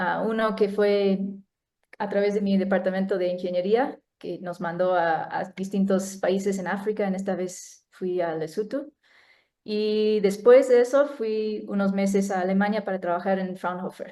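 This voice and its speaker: A woman with a non-native accent speaks fairly slowly, with a dark, mellow tone. Her pitch sits in the middle and her intonation stays fairly even. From United States. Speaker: neuroscientist. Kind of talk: talk presentation. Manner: halting.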